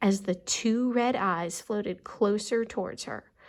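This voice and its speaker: On a very clean recording with a silent background, a woman speaks at a moderate pace and medium pitch in an unremarkable speaking voice. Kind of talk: storybook read-aloud.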